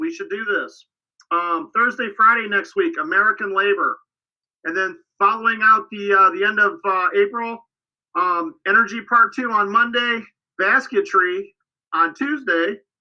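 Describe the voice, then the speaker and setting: Loud and animated, a man speaks at a high pitch with lively intonation. His pace is moderate. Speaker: scouting program staff. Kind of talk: livestream program update.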